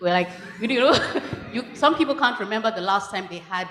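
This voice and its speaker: A woman speaks with a Nigerian accent. Her tone is bright and sharp. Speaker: law professor. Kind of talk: audience contribution at conference. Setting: conference hall with audience. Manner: halting.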